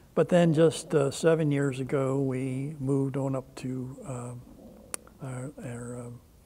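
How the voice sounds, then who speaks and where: A man with an American accent speaks at a very slow pace in a medium pitch, his intonation monotone and flat, with hardly any pauses and noticeable background noise. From Maryland (Brooklyn, near Baltimore). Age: 80s+. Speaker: war veteran. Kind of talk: oral history interview. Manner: halting.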